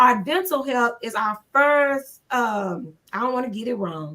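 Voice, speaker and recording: A woman speaks loudly at a high pitch, her tone animated and her pitch variation ordinary. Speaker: pastor. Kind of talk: casual chat.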